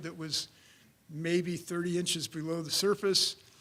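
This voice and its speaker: At a moderate pace, a man talks in a high pitch with monotone, flat intonation. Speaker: civil engineer. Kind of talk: conference presentation. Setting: conference room with audience. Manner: loud.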